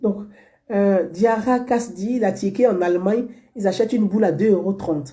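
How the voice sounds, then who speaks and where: Her voice somewhat breathy and dark, mellow in tone, a woman speaks at a fairly slow pace with very wide pitch swings. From Côte d'Ivoire, Abobo (Abidjan). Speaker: online political commentator. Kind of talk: monologue commentary to viewers.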